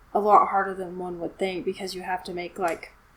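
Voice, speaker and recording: On a very clean recording with a silent background, a woman talks in a Southern accent. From US South. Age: 20s. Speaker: hobbyist builder and musician. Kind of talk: casual chat.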